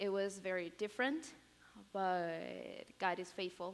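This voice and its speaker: A woman with a Spanish accent speaks at medium pitch with ordinary pitch variation. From Peru. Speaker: college student. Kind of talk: testimony. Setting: chapel stage with audience. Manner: halting, many fillers.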